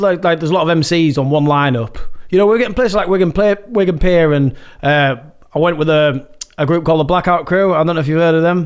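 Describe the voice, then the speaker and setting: Speaking very fast in a Yorkshire accent, a man with a high-pitched voice keeps his loudness very even. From northern England, Yorkshire (Malton). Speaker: rave MC and music producer. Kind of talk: casual chat.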